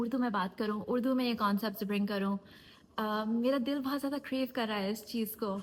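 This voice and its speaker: This woman's voice sits fairly high. Her pitch moves up and down in an ordinary way. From USA. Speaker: life coach and YouTuber. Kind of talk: casual talk to camera.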